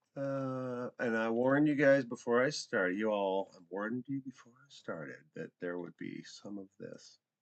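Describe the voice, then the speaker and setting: The sound is dry and close with no echo as a medium-pitched man speaks at a moderate pace with hardly any pauses, ordinary pitch variation and big swings in loudness. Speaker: artist and musician live streaming. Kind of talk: casual live stream chat while painting. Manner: unrehearsed, halting with fillers.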